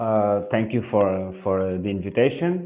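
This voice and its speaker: A man with a Portuguese accent speaks at a fairly slow pace, his fairly low voice dark and mellow in tone. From Portugal. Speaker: real estate agent. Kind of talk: webinar panel talk. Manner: halting, many fillers.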